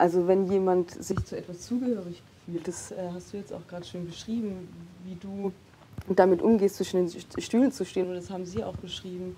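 A woman with a medium-pitched voice speaks with fairly even intonation and big swings in loudness over light background noise. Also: fairly quick pace. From Heilbronn, Germany; Germany. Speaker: poet and social scientist; poet. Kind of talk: panel discussion. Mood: calm, thoughtful. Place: studio. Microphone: lapel.

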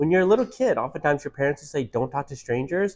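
Lively intonation from a man with an American accent. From US Midwest, Detroit. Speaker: author. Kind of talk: interview. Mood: warm, reflective. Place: cafe. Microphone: lapel.

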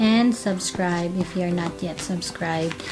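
Clear music plays behind a woman speaking at a fairly slow pace. Her intonation stays fairly even. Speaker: pet vlogger. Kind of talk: casual vlog intro. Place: home room. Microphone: camera far.

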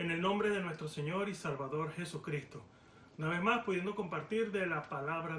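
A man speaks at a fairly quick pace with a high voice for a man. Light background noise and audible room echo are present. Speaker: preacher. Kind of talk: sermon. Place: home room. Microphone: phone near.

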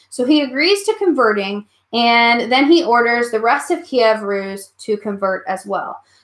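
Against a quiet background with audible room echo, a woman speaks at a fairly high pitch and fairly slow pace with lively intonation. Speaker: history teacher. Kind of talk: online class review lecture. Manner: animated. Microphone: webcam.

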